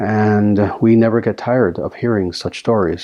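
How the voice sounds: The text is read in a natural voice.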